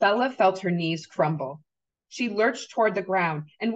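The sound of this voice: The background makes no noise. Someone reads in an unforced reading voice.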